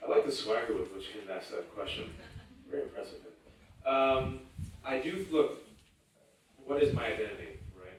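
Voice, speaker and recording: In a room with audible echo, a man speaks at a moderate pace with long, frequent pauses and big swings in loudness. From US West Coast, Fremont, California. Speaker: writer and panelist. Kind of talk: panel talk. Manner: animated.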